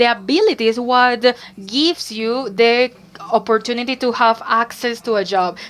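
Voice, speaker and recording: In a Barranquilla Colombian accent, a woman speaks at a moderate pace with a fairly high pitch and ordinary pitch variation. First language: Spanish. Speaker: startup co-founder, panelist. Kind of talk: panel discussion.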